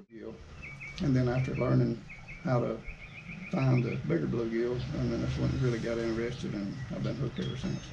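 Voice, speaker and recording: A man with an Alabama accent at a fairly quick pace, with long, frequent pauses, audible room echo and noticeable background noise. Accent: Southern US (Alabama). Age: 50s. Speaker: outdoors channel host, angler. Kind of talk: podcast interview.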